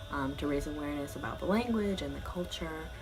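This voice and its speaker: Soft-spoken, a woman talks with music in the background. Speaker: student vlogger. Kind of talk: casual talk to camera.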